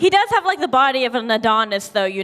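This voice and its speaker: Noticeable background noise runs through the clip. Over it, a female voice can be heard. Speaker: stand-up comedian. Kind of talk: stand-up. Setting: stage with audience. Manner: hesitant, many fillers.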